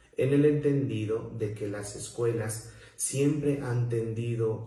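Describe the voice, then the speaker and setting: Speaking in a southern Mexican accent, a man with a medium pitch and a somewhat breathy voice goes at a very slow pace with fairly even intonation, and audible room echo can be heard. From Mexico, southern Veracruz. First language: Zoque-Popoluca (speaking Spanish). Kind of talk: prepared talk. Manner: formal.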